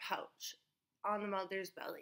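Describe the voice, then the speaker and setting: A woman speaks at a moderate pace in a bright, sharp tone against a quiet background. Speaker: animal facts vlogger. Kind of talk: casual vlog chat. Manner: tipsy, slurred, drowsy-eyed delivery. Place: home room. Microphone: webcam.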